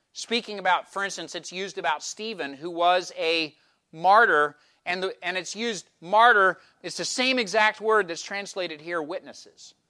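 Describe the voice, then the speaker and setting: In an American accent, a raised, projected voice with a bright, sharp tone and ordinary pitch variation comes through a very clean recording with a silent background. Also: man, high pitch for a man, moderate pace. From eastern Pennsylvania. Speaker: pastor. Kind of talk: sermon. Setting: church.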